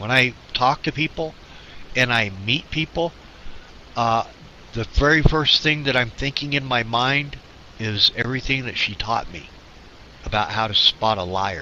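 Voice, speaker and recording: Long, frequent pauses and ordinary pitch variation come through over noticeable background noise. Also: man, medium pitch for a man. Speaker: radio show co-host. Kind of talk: casual chat. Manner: halting.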